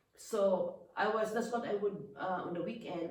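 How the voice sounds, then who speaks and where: Audible room echo surrounds a woman talking in a Filipino accent. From Philippines. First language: Filipino language. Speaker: businesswoman. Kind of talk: casual interview about life story. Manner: halting, with many restarts.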